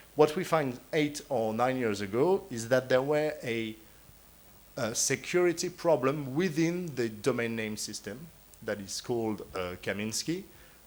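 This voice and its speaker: Lively intonation marks this man's speech, which has a French accent. His pitch is medium and his pace fairly slow. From France. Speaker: conference panelist, internet registry official. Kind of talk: conference talk. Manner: hesitant, many fillers.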